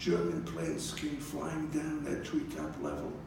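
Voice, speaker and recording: Audible room echo and noticeable background noise surround a man speaking at a very slow pace. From Belgium. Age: 80s+. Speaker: Holocaust survivor speaker. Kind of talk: public talk. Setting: college lecture hall.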